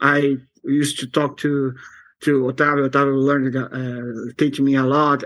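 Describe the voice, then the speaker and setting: A man speaks with a Portuguese accent at a fairly high pitch for a man. His pace is moderate and his intonation fairly even. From Brazil, São Paulo. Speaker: software developer. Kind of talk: interview. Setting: video call. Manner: halting.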